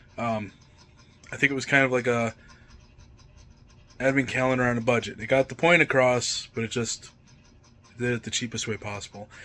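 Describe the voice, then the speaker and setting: Noticeable background noise accompanies a man speaking at a fairly quick pace. He takes long, frequent pauses. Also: medium pitch for a man, fairly even intonation. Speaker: vlogger. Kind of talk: casual vlog talk. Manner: hesitant, many fillers.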